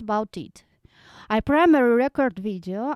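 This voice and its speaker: A woman speaks at a fairly slow pace in a high pitch, with ordinary pitch variation. The sound is dry and close with no echo, a very clean recording over a silent background. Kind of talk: microphone test sample, casual talk to camera. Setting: home room recorded close to microphone, no post processing. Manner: soft-spoken.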